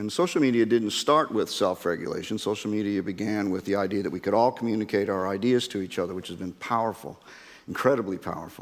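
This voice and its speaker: Fairly low male pitch at a very fast pace, with ordinary pitch variation. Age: 60s. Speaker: oil and gas industry executive. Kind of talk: conference talk. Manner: halting, with repeated words.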